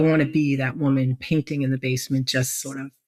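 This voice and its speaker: A woman's voice with fairly even intonation, in a dry, close sound with no echo. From Brooklyn, New York, US. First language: Greek. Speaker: business executive and entrepreneur. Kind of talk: podcast interview.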